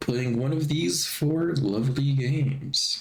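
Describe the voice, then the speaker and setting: Audible room echo surrounds a man speaking fairly slowly at a medium pitch. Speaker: video game streamer. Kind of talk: casual live-stream chat.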